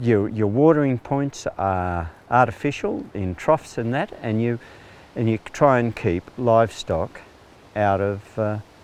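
With an Australian accent, a man speaks at a fairly slow pace in a dry sound with no echo. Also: ordinary pitch variation. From Central West New South Wales, Australia. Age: 60s. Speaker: retired farmer, farm manager. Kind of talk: interview answer. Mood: calm, reflective. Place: open country.

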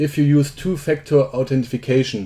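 Speaking at a fairly slow pace with a German accent, the voice has a dark, mellow tone and fairly even intonation. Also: man. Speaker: software developer. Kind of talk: tutorial. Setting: screen recording. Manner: halting.

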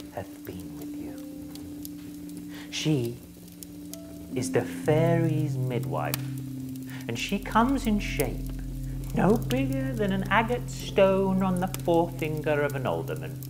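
The speech moves at a fairly slow pace over clear background noise. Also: man. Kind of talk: Shakespearean stage speech. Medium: solo performance.

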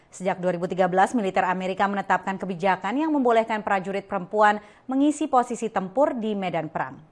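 Against a quiet background, a woman of medium pitch talks very fast with lively intonation. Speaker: news reporter. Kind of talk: news reading, scripted report voiceover. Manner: formal, even-paced, steady broadcast delivery.

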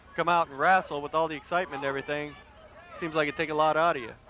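Fairly high pitch and a bright, sharp tone from a man, dry with no echo, with light background noise. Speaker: wrestling commentator. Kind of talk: live wrestling commentary, play-by-play with jokes. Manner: excitable, quick reactive exclamations, bantering. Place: stadium. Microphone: headset.

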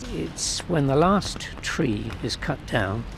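A man's voice at medium pitch, with noticeable background noise. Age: 70s. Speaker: protester, retired professor. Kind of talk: interview. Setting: outdoors. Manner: halting.

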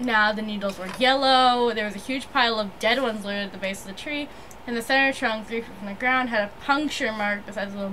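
What you hear is an unforced reading voice.

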